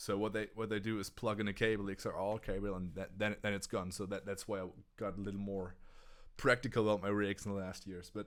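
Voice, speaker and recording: On a very clean recording with a silent background, a man with a German accent speaks at a very fast pace with a fairly low pitch and a monotone, flat intonation. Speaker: touring guitarist and gear show host. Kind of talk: casual livestream chat. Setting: livestream. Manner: halting, many restarts.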